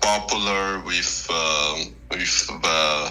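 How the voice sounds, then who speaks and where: With music in the background, a man speaks in a very deep, low voice, his pitch varying in an ordinary way. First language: not English. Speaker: debate guest. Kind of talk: casual discussion. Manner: halting, many fillers and restarts.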